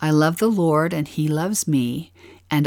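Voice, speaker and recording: Speaking with a Utah accent, a woman has a very deep, low voice and ordinary pitch variation. She keeps a moderate pace on a very clean recording with a silent background. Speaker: podcast co-host, scripture study. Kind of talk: scripted scripture-study narration.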